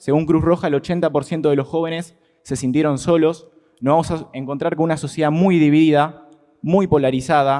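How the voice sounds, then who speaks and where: Fairly high in pitch, a man's dark, mellow voice moves at a fairly quick pace with fairly even intonation. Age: 20s. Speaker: student activist. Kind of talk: testimony at a legislative hearing. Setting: committee meeting.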